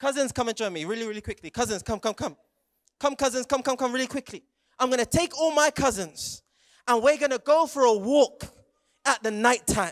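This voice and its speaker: In a British accent, a man speaks at an extremely high pitch with ordinary pitch variation and a fairly quick pace. His tone is animated, and the background is quiet. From England, Jamaican heritage. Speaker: youth preacher. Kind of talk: sermon. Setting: stage with audience. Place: stage. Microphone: handheld.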